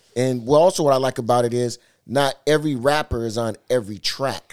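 Using an unremarkable speaking voice with an American accent, a man speaks at a moderate pace at a medium pitch with ordinary pitch variation. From Seattle. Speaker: DJ. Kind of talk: casual chat.

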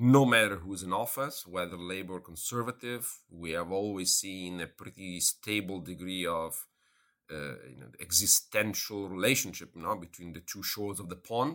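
With an Italian accent, a man speaks at a very deep, low pitch in a bright, sharp tone. The recording is very clean, with a silent background. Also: ordinary pitch variation, moderate pace, big swings in loudness. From Italy. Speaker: professor of international relations. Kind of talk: interview. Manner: halting.

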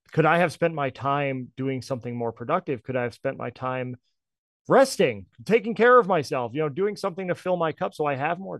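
A man with an American accent and an ordinary speaking voice talks fairly quickly at a fairly high pitch with lively intonation, in a dry, close sound with no echo and a quiet background. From US Northeast, northern New Jersey. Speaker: music collective founder. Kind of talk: podcast interview.

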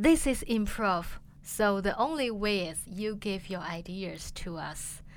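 At a fairly slow pace, a woman with a Chinese accent speaks at a medium pitch. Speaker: improv comedian. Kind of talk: interview.

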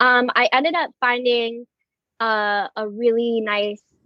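An American accent, fairly even intonation, and a fairly slow pace. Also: woman. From Southern California (Moorpark). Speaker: dance studio owner. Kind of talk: interview.

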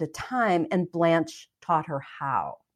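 Over a silent background in a very clean recording, a woman with an ordinary speaking voice talks at a fairly slow pace with lively intonation. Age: 60s. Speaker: energy healer and author. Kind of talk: interview.

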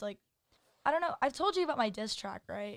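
A woman with an American accent, a normal speaking voice, a fairly quick pace and lively intonation. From Texas, Dallas. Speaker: college student. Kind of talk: casual chat.

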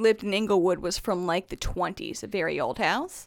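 A woman with an American accent speaks in a plain, everyday voice at a moderate pace. Her intonation is lively, on a very clean recording with a silent background. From northern US. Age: 30s. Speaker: guest, mother of two. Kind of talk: casual chat.

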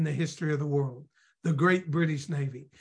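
The man talks in an animated tone. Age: 60s. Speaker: evangelist and author. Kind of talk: interview.

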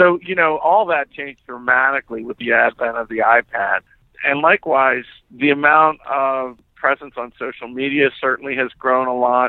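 Using an ordinary speaking voice, a man keeps a moderate pace and medium pitch, and his pitch varies in an ordinary way. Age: 50s. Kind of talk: interview.

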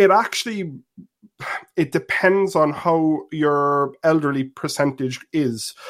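In an Irish accent, a man speaks at a very slow pace with very even loudness. His pitch is fairly high, with ordinary variation. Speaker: caller. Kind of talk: call-in discussion.

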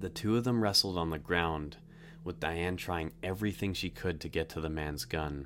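The man's pitch is very deep and low. He keeps a moderate pace with ordinary pitch variation. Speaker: true crime podcaster. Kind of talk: true-crime narration. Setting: online podcast and video. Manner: grave, measured storytelling with suspenseful build.

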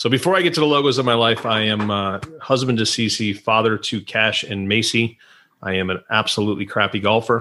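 On a very clean recording with a silent background, a man with an American accent has a bright, sharp tone. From Western New York (Rochester). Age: 50s. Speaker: tech company CEO. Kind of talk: casual chat.

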